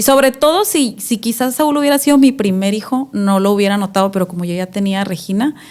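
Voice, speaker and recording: A woman with an ordinary speaking voice uses lively intonation at medium pitch and a moderate pace. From Mexico, Tijuana. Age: 30s. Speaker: mother sharing testimony. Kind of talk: interview testimony. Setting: studio.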